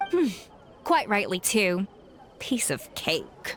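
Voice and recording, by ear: A woman performs a put-on character voice at a medium pitch and very slow pace, with very wide pitch swings. Her tone is fairly bright, over faint background noise.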